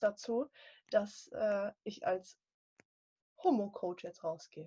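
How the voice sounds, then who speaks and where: This woman's somewhat breathy voice sits at a fairly high pitch and moves at a very slow pace. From northern Germany. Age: 20s. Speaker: life coach. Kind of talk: casual interview chat.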